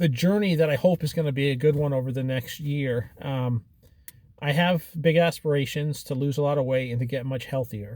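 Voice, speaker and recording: A man speaks at a fairly high pitch with ordinary pitch variation. His voice is somewhat breathy and moves at a moderate pace. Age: 40s. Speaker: keto dieter documenting weight loss. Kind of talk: casual video journal talk to camera.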